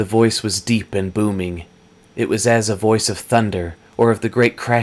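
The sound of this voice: An unforced reading voice, intonation fairly even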